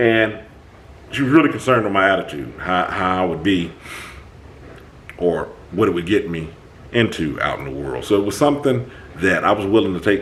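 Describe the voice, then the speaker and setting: A man's animated, fairly low voice with very wide pitch swings, at a moderate pace, with audible room echo and noticeable background noise. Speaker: self-help talk show host. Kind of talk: casual monologue.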